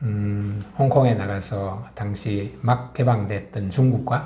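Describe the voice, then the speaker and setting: A man is talking here. The variation in his pitch is ordinary. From South Korea. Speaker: author and publisher; interviewee. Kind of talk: interview. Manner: hesitant with many fillers. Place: studio.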